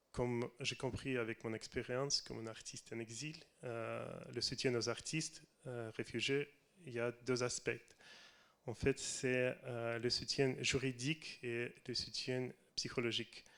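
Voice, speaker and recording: Fairly slow, monotone, flat speech with a Russian accent. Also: man, medium pitch for a man. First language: Russian (speaking French). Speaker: film director. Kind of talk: reading prepared text. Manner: halting.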